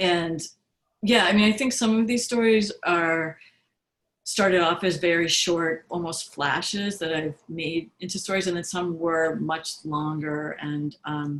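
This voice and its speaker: A woman speaks with an American accent at a fairly low pitch. She goes at a fairly slow pace with ordinary pitch variation. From Boston area, Massachusetts. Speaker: author. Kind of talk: author interview. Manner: hesitant, many fillers.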